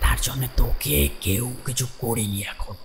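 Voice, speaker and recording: A man performs in a put-on character voice. Clear background noise can be heard. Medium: audio drama. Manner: slow, solemn, repeating phrases.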